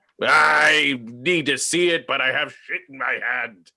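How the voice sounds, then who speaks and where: This man puts on a raspy character voice, pitched in the medium range, talking fairly slowly with big swings in loudness. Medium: actual play. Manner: gruff, hot-tempered.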